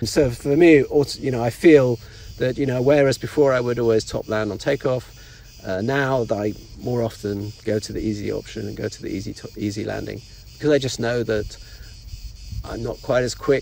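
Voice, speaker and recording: A man delivers his words fairly quickly. The background carries noticeable noise. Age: 60s. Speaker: veteran paraglider pilot. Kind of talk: casual interview.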